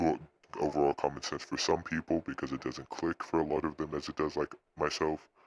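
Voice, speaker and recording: A man's very deep, low voice with vocal fry, monotone and flat, at a moderate pace, dry and close with no echo. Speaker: tech tutorial youtuber. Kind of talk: tutorial. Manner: halting.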